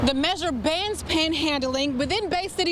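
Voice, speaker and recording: Against noticeable background noise, a woman with a high voice and ordinary pitch variation speaks at a moderate pace. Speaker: TV news reporter and anchor. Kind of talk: TV news anchoring.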